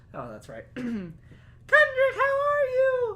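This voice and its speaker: A squeaky, put-on character voice, female-sounding, at a fairly slow pace. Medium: actual play. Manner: warm, doting, sassy.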